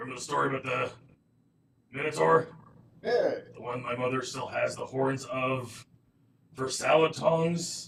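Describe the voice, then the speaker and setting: In a put-on character voice, a man speaks at a moderate pace and medium pitch, raspy, with big swings in loudness and long, frequent pauses. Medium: actual play. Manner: casual, chatty.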